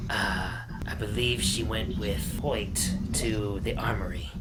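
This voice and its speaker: Amid loud background noise, a man does a gravelly, put-on character voice at a fairly slow pace. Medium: actual play.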